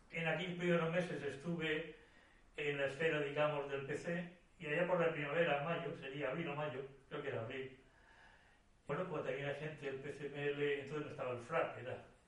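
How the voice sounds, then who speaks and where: A man with a fairly high voice speaks at a moderate pace in a flat, monotone way, with audible room echo and noticeable background noise. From Murcia, Spain. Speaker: former political prisoner and memory activist. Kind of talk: interview, personal testimony. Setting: at his home.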